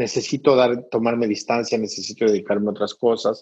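With a dark, mellow tone, a man speaks at medium pitch and a moderate pace. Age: 50s. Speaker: humanitarian aid trainer. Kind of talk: interview.

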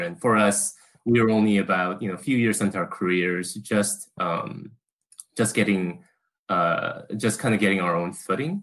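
Speaking at a moderate pace, a man has a fairly low pitch, a normal speaking voice, and ordinary pitch variation. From Korea, moved to US at age 8. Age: 30s. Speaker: interview guest, caregiver. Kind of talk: interview.

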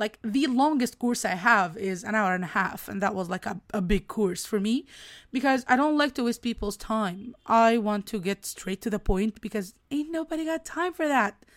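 A woman with an Egyptian accent, fairly high pitch and lively intonation, at a moderate pace with hardly any pauses, in a very clean recording with a silent background. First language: Arabic. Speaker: podcast host and business coach. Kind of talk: casual solo podcast monologue. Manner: animated, enthusiastic, occasionally halting.

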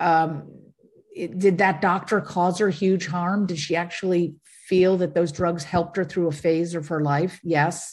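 Somewhat breathy woman, fairly low in pitch, at a fairly slow pace. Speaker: documentary filmmaker. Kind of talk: interview conversation.

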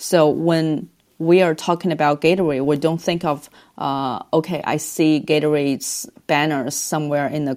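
A woman's very deep, low voice with a dark, mellow tone and a Chinese accent, fairly slow, in a very clean recording with a silent background. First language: Mandarin Chinese. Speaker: advertising agency business leader. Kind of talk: podcast interview.

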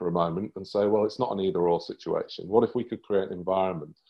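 In a British accent, a man with a fairly low pitch talks at a very fast pace with ordinary pitch variation. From UK. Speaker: performance coach. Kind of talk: interview.

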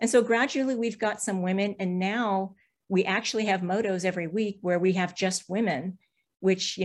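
A woman speaks at a moderate pace in an unremarkable speaking voice, medium in pitch with ordinary pitch variation. The recording is very clean, with a silent background. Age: 60s. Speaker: amateur BMX racer. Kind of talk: interview.

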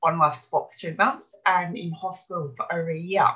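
Her tone is bright and sharp as a woman speaks at a medium pitch with an Australian accent. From Australia, Brisbane. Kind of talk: interview.

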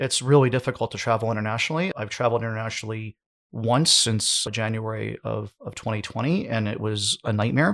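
A man with an American accent and an unremarkable speaking voice talks at a fairly quick pace and medium pitch, with fairly even intonation, in a dry, close sound with no echo on a very clean recording with a silent background. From United States. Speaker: e-commerce business owner and podcaster. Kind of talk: podcast interview.

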